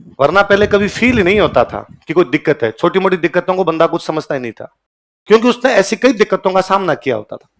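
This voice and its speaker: Lively in intonation and high-pitched, a man's voice jumps a lot in loudness, recorded with a dry, close sound and no echo. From Rajasthan, Ganganagar canal belt (Bikaner district). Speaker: coaching teacher. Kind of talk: lecture. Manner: animated.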